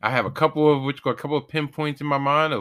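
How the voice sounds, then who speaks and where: A bright, sharp tone at a very fast pace, on a very clean recording with a silent background. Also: man. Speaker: podcast host. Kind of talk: casual chat. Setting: home studio. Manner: rambling, goes on tangents.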